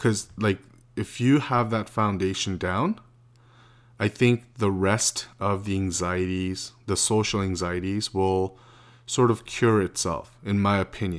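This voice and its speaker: In a very clean recording with a silent background, the voice moves at a fairly slow pace with fairly even intonation. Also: man, fairly low pitch for a man. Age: 30s. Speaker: podcast host. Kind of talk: casual monologue. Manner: halting, many filler words.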